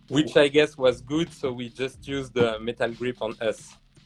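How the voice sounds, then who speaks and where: A man is talking with a moderate tempo. Background music accompanies his fairly even intonation. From southern France. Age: 30s. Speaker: tattoo artist. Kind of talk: interview.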